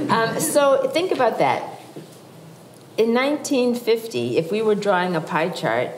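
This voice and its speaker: A woman with an American accent speaks at a fairly high pitch and a fairly slow pace, her pitch swinging very widely. Audible room echo and noticeable background noise fill the recording. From Massachusetts. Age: 60s. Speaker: author and psychologist. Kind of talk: public talk. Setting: stage with audience.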